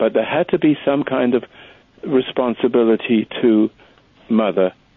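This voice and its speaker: A man's medium-pitched, plain, everyday voice at a fairly slow pace. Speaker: meditation teacher. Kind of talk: call-in radio talk. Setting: phone call.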